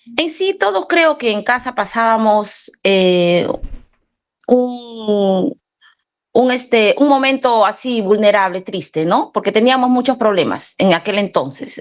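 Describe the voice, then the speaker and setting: Speech comes at a very slow pace. The intonation is lively. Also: woman. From Peru. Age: 40s. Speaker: former Jehovah's Witness. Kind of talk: testimony. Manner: halting.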